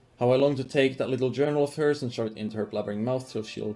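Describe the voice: This is plain reading aloud. The pitch shows ordinary variation.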